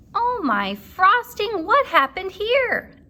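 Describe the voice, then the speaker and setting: A woman puts on a squeaky character voice at an extremely high pitch. She speaks at a fairly slow pace with lively intonation. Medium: read story. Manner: cheerful, gentle.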